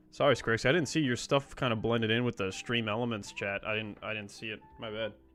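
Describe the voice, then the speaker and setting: Music plays behind speech that moves at a fairly quick pace. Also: man, medium pitch for a man. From Australia. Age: 20s. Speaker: programming streamer. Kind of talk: casual live-stream chat while coding. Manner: casual, filler-heavy.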